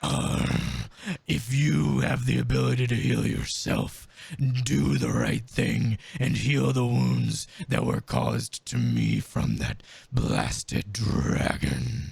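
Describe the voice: A man puts on a character voice, very deep and low in pitch. He talks very slowly, raspy and gravelly.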